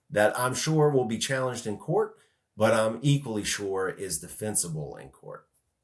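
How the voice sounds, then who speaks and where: Pitch rises and falls very widely here. It comes with an American accent. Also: man. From North Carolina. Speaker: podcast host, conservation businessman. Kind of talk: conversational podcast discussion.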